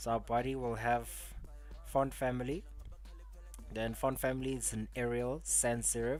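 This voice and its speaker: A man speaks at a moderate pace, leaving long, frequent pauses. Audible room echo is present. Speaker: coding tutor livestreamer. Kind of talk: live coding tutorial. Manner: casual, halting with fillers.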